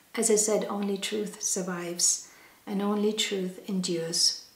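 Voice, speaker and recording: Over noticeable background noise and audible room echo, a woman of medium pitch speaks at a fairly slow pace with fairly even intonation. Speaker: holistic health educator. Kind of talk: educational talk. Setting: wellness studio.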